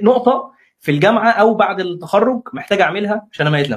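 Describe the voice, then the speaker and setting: Lively intonation at a moderate pace. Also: man. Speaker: interviewer and moderator. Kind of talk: interview. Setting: live stream.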